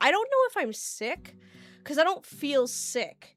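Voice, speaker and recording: Music plays in the background as a woman speaks. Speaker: streamer. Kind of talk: casual chat. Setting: live stream. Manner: animated.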